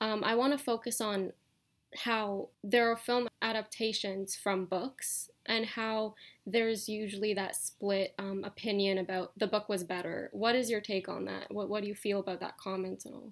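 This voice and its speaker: A plain, everyday voice with fairly even intonation at a moderate pace. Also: woman, medium pitch for a woman. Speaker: podcast host. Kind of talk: casual interview chat.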